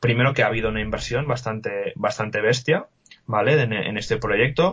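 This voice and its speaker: Here is a man with an ordinary speaking voice. His pitch is medium, with ordinary pitch variation. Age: 20s. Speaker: WordPress developer and podcaster. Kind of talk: casual interview.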